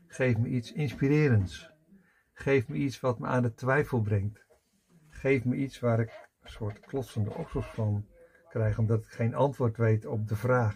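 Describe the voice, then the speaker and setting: A man talks fairly slowly with ordinary pitch variation and big swings in loudness. Light background noise sits behind him. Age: 60s. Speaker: personal development coach; coach or spiritual teacher. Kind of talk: personal video monologue. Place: home room.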